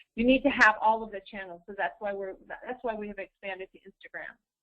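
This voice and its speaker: A woman's fairly high voice, a normal speaking voice, at a moderate pace with fairly even intonation. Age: 60s. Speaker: social media consultant. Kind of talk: webinar presentation.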